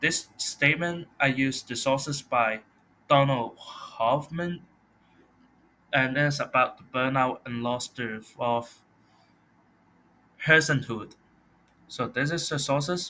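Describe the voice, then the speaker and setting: With a non-native accent, a man speaks very slowly in a fairly high, bright, sharp voice, his intonation fairly even and his pauses long and frequent. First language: not English. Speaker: college student. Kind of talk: class presentation.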